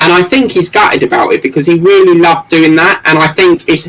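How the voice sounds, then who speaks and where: A man with an English accent, ordinary pitch variation and a fairly quick pace. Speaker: model-building livestreamer. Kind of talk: casual livestream chat. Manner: fast, muddled speech.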